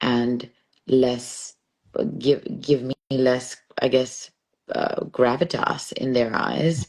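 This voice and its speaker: A woman with an American accent, her pitch very deep and low, her intonation monotone and flat, at a very slow pace. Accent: international accent that sounds American. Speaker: poet and stand-up comedian. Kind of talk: casual interview chat. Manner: clear enunciation, measured cadence.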